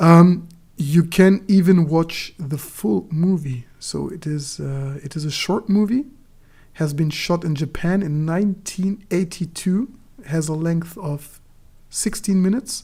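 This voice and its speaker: A woman's fairly low, somewhat breathy voice with a dark, mellow tone, at a fairly slow pace. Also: ordinary pitch variation. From Germany. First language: Turkish. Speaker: book channel host. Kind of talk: casual livestream chat. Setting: livestream. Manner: halting.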